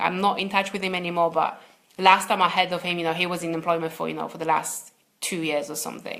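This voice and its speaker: With a non-native accent, a woman is talking. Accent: foreign accent, second-language English. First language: not English. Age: 30s. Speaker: success coach. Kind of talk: live webinar coaching talk. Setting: livestream video. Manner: hesitant, many repeated words.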